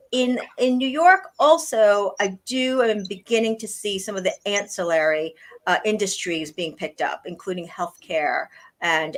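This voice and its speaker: A woman with an American accent has an unremarkable speaking voice. She talks at a moderate pace with lively intonation. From US East Coast. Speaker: blockchain industry executive. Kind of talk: interview.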